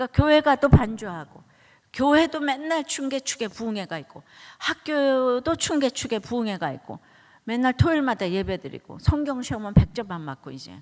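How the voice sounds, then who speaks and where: At a moderate pace, a woman's high voice makes very wide pitch swings and big swings in loudness. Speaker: pastor. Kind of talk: sermon. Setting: church. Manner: conversational, anecdotal.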